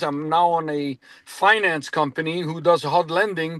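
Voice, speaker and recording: A man speaks at a high pitch in a dry, close sound with no echo. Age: 60s. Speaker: business consultant. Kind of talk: self-introduction in a group meeting.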